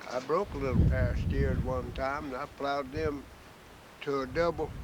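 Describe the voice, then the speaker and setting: Over noticeable background noise, a man talks at a moderate pace with lively intonation and a medium pitch. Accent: rural Southern US. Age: 80s+. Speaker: farmer. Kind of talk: oral history interview.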